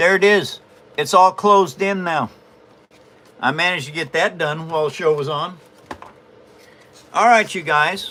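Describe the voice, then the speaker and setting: With an American accent and a bright, sharp tone, a man speaks high for his sex at a moderate pace, with ordinary pitch variation and long, frequent pauses. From US Pacific Northwest, near Olympia, Washington. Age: 70s. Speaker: papercraft livestreamer. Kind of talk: casual livestream chat. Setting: live stream.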